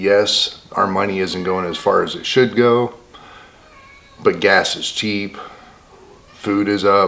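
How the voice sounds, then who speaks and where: Soft-spoken and very slow, the voice keeps fairly even intonation with long, frequent pauses. Noticeable background noise sits beneath it. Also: man, fairly low pitch for a man. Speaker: homesteading vlogger. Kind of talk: casual vlog monologue. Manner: quiet, soft-spoken.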